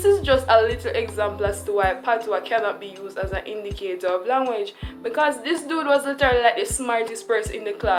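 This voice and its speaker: A woman talks at a very fast pace with hardly any pauses. Music plays in the background. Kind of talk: casual commentary to camera.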